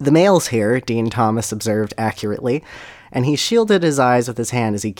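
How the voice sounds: The speaker reads in a natural reading voice. Lively intonation runs through it.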